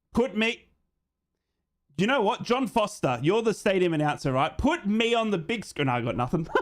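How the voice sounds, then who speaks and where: Loud and high-pitched, a man speaks at a moderate pace. His pitch swings very widely. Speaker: football fan streamer. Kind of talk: live watch-along chat. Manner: animated.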